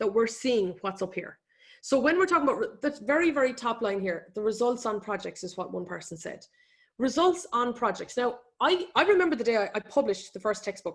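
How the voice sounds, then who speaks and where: Someone with an Irish accent speaks at a fairly quick pace with very wide pitch swings. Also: woman, fairly high pitch for a woman. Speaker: economist and business speaker. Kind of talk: webinar presentation. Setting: online webinar. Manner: fast.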